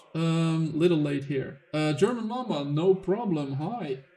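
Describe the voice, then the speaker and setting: A man's fairly high-pitched voice at a fairly slow pace, with ordinary pitch variation and noticeable background noise. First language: not English. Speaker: gaming livestreamer. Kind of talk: livestream gameplay commentary with chat. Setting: livestream.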